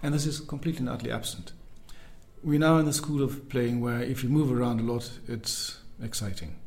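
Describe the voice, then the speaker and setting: A soft-spoken man at a fairly quick pace, medium in pitch with ordinary pitch variation, music in the background and audible room echo. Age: 50s. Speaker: double bassist. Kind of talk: interview. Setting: in person. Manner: careful, precise.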